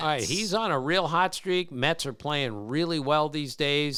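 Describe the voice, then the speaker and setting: An American man with a fairly high pitch speaks in a normal speaking voice with lively intonation. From Maryland. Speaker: baseball podcast host. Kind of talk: casual podcast talk.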